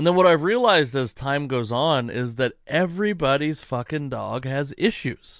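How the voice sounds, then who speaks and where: A man with a normal speaking voice and a fairly high pitch talks at a moderate pace with lively intonation and hardly any pauses, against a quiet background. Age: 30s. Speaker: podcast host and comedian. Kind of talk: casual chat.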